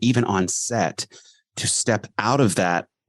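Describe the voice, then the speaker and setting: In an ordinary speaking voice, a man talks at a fairly slow pace with ordinary pitch variation, recorded dry and close with no echo over a quiet background. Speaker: podcast host. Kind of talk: casual podcast conversation.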